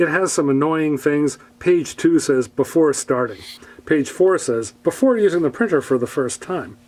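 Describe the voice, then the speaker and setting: In a plain, everyday voice, a man speaks at a moderate pace with a fairly high pitch and lively intonation. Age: 60s. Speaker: product reviewer. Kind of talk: product review. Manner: casual, with frequent fillers.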